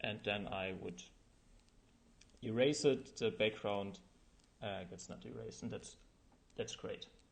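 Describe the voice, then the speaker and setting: A man talks at a fairly slow pace, leaving long, frequent pauses. His loudness rises and falls sharply. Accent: German. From Germany. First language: German. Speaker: animator streamer. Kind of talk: live stream tutorial. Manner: halting, many fillers.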